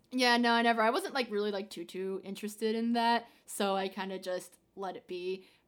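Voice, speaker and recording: A woman's normal speaking voice, medium in pitch, fairly quick, with hardly any pauses and fairly even intonation. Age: 20s. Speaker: student and aspiring TV producer. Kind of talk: casual chat. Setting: remote call.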